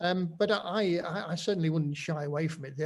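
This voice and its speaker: A man speaks with a Nottingham accent. His pitch is fairly high, with ordinary variation. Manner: hesitant, conversational.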